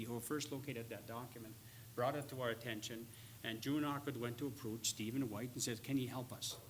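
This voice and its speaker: A man talking at a very fast pace, with audible room echo and noticeable background noise. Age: 60s. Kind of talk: public lecture. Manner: animated storytelling.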